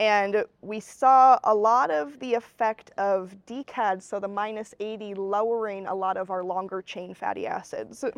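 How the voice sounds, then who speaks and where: This woman has an ordinary speaking voice at a medium pitch, set against a quiet background. She talks at a fairly slow pace with hardly any pauses. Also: fairly even intonation. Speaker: graduate student. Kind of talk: casual interview chat.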